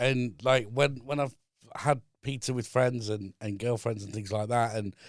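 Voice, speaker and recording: A man talks in a plain, everyday voice at medium pitch. His intonation is fairly even and his pace moderate. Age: 40s. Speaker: business consultant and trainer. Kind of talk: casual chat. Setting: studio.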